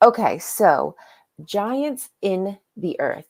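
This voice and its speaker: This woman's tone is animated. She has an American accent. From not US South. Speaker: livestream host reading religious children's book. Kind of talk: casual livestream chat. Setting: live stream. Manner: loud.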